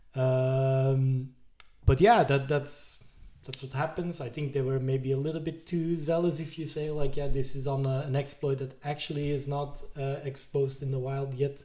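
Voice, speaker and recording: A man speaks at a moderate pace with a non-native accent, his pitch fairly high and his tone dark and mellow. His intonation is monotone and flat, and his voice is somewhat breathy. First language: not English. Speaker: IT podcast co-host. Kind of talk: casual chat.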